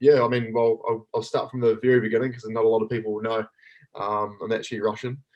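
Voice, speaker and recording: A man with a New Zealand accent speaks fairly quickly at medium pitch in a monotone, flat intonation. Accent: full Kiwi. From New Zealand, East Auckland. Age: 30s. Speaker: athlete and coach. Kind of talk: casual chat.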